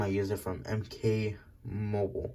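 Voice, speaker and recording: On a very clean recording with a silent background, a man with a medium pitch has a dark, mellow tone that is somewhat breathy. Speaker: toy figure reviewer. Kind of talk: casual review. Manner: prone to stuttering.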